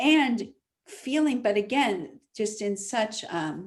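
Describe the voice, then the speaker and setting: The speaker is a woman. Her intonation is lively. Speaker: spiritual healer and relationship coach. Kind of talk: interview. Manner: animated.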